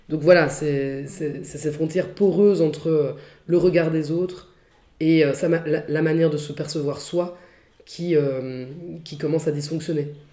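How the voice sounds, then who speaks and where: At a fairly slow pace, a woman speaks in a very deep, low pitch with a dark, mellow tone. Her intonation stays monotone and flat. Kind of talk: interview answer. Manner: hesitant.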